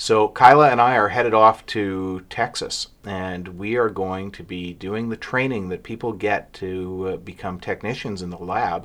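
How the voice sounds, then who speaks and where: A man speaks in a normal speaking voice at a fairly low pitch and a fairly slow pace, with fairly even intonation. There are hardly any pauses, and the recording is very clean with a silent background. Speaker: lawyer and podcast co-host. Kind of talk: casual chat.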